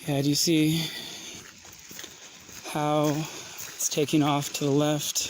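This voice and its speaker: Over noticeable background noise, the speech moves at a very slow pace, broken by long, frequent pauses. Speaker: citizen journalist. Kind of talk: live on-scene narration outdoors. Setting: outdoors.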